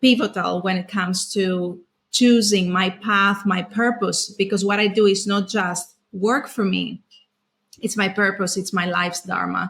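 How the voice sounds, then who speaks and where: In a Greek accent, a woman speaks at medium pitch with monotone, flat intonation. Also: fairly slow pace. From Greece. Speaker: trauma specialist. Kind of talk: podcast interview.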